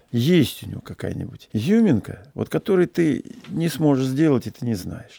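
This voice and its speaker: Very wide pitch swings mark this dark, mellow voice, heard at a moderate pace in a dry, close sound with no echo. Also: man. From Russia, Saratov then Omsk. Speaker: yacht captain and traveler. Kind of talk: interview storytelling.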